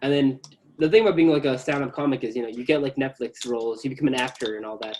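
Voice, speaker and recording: A man with an American accent speaks at a very fast pace with ordinary pitch variation. Noticeable background noise runs underneath. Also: medium pitch for a man. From US, Bangladeshi family. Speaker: tech YouTuber. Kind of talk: casual chat. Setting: video call.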